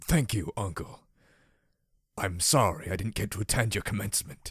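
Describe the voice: Using a put-on character voice, a soft-spoken man sounds raspy and wheezy at a fairly low pitch, his intonation lively, in a very clean recording with a silent background. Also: moderate pace.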